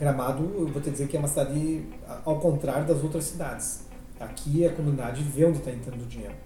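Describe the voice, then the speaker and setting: Over noticeable background noise, a man speaks at a very fast pace. His pitch is fairly high and his intonation is monotone and flat. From Rio Grande do Sul, Brazil. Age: 40s. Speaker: architect and local party president. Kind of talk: podcast interview. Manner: casual, filler-heavy with repetitions.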